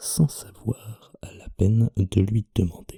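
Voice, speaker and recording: A man whispers at a very slow pace, somewhat breathy. The sound is dry and close with no echo. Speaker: ASMR creator. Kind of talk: reading aloud. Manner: whispering.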